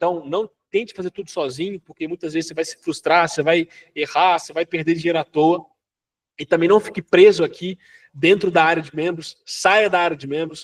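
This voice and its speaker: A man with a high pitch talks at a fairly quick pace with fairly even intonation and big swings in loudness, recorded dry and close with no echo. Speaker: online business course instructor. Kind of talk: live online class. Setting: live online class with members. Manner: fast.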